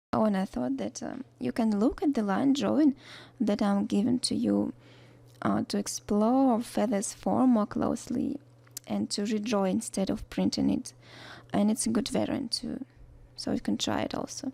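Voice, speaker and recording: In a Russian accent, a woman speaks at a moderate pace on a very clean recording with a silent background. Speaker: watercolor art teacher. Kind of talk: tutorial. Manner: hesitant, many fillers; unscripted voice-over.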